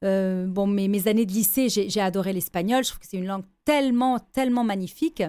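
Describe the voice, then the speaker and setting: At a fairly quick pace, a woman with a medium pitch and ordinary pitch variation speaks with big swings in loudness on a very clean recording with a silent background. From Lebanon, then France from 17. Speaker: businesswoman and gender-equality advocate. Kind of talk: radio interview. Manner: hesitant, with repeated false starts.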